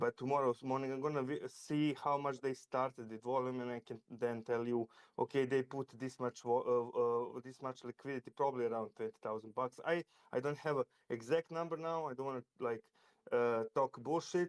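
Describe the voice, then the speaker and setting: A man with a non-native accent, fairly even intonation and a fairly quick pace. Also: medium pitch for a man. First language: not English. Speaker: crypto trader. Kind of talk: casual chat. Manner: halting.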